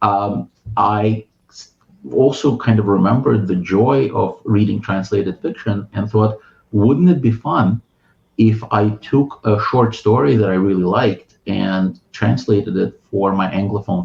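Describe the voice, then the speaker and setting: A somewhat breathy man talks at a fairly slow pace. His fairly low voice shows ordinary pitch variation. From Ukraine. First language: Russian. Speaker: writer and translator. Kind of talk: interview conversation. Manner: hesitant, many fillers and restarts.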